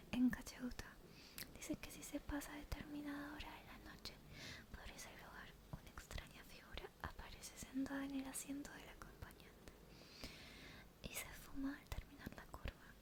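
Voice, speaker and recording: Whispering at a moderate pace, a woman leaves long, frequent pauses, and her loudness swings widely. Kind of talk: ASMR story reading for sleep. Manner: soft-spoken, whispered.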